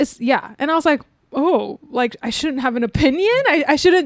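A woman's voice is high and her intonation lively. She keeps a moderate pace. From USA (Taiwanese-American). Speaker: podcast host. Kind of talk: casual chat. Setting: host's home.

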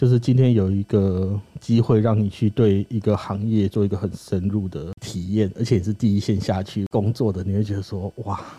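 With a dark, mellow tone and a somewhat breathy quality, a man speaks at a fairly low pitch and with fairly even intonation. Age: 30s. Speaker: former crematorium worker and author. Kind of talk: casual interview chat.

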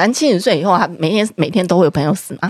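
This is a woman at a medium pitch. Her pitch variation is ordinary. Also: dry, close sound with no echo. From Taiwan, Taipei (Zhonghe/Yonghe). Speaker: podcast host. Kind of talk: casual chat.

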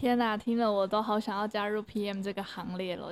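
Here is a normal speaking voice from a woman at a medium pitch. Her intonation is fairly even. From Taiwan. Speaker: podcast host and freelance English teacher. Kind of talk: casual interview chat.

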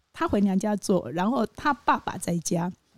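A woman's normal speaking voice at medium pitch, with lively intonation at a fairly slow pace, in a dry, close sound with no echo. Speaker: postpartum nanny. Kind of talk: interview.

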